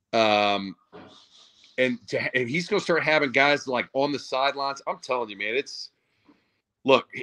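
A man with an American accent speaks at a moderate pace and medium pitch, with a bright, sharp tone and ordinary pitch variation. Long, frequent pauses break up his speech, and the sound is dry and close with no echo. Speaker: former college football player. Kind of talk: casual chat.

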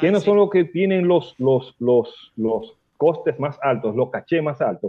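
A man talks at a fairly slow pace with lively intonation. His pitch sits fairly high. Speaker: radio host and bachata expert. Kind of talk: casual radio interview. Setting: radio studio.

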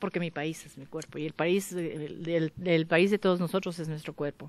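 The recording is dry, with no echo. A woman speaks at a moderate rate. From Mexico, Michoacán. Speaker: visual artist; interviewee. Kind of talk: interview testimony. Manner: halting. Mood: warm, enthusiastic. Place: garden. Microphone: handheld.

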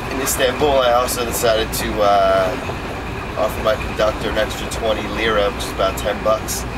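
Loud background noise surrounds a man as he talks. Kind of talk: casual vlog chat. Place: train. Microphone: phone near.

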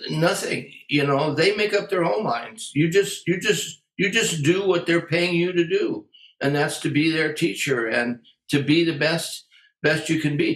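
A man's high voice at a fairly slow pace, with ordinary pitch variation and very even loudness, some audible room echo, and a quiet background. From US, Western Massachusetts then California; California. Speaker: jazz drummer and drum educator; drum educator. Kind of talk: interview. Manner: casual. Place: home room. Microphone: webcam.

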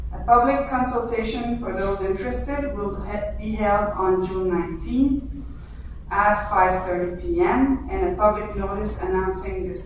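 Fairly slow delivery under strong room echo and noticeable background noise. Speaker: council presenter. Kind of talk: formal reading of council motions. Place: hall.

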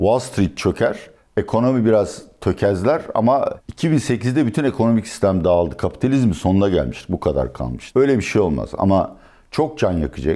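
A man's dark, mellow voice at medium pitch, with vocal fry, very wide pitch swings and a moderate pace, on a very clean recording with a silent background. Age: 60s. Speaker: economist and political analyst. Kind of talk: interview.

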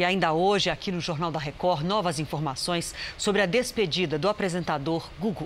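A plain, everyday voice from a woman, fairly low in pitch with ordinary pitch variation, at a moderate pace with hardly any pauses, over light background noise. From Brazil. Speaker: news anchor. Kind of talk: news reading. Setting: studio. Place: studio. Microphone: lapel.

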